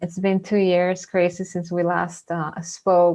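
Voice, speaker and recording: A woman talks with a Venezuelan accent. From Venezuela, then US from age 15. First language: Spanish. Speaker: mindfulness facilitator. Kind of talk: webinar talk. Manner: halting.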